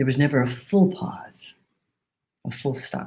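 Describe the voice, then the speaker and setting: This woman has a very deep, low pitch, a dark, mellow tone and vocal fry. She talks at a moderate pace with ordinary pitch variation. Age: 60s. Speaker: pastor. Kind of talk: sermon.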